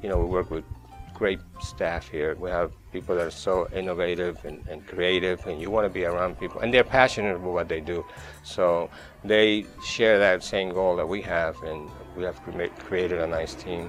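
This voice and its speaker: A man with a Colombian accent speaks in a very deep, low voice with fairly even intonation as music plays in the background. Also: moderate pace. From Colombia, Caribbean coast (Barranquilla). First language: Spanish. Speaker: chef, catering company owner. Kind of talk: interview answer. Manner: soft-spoken, friendly.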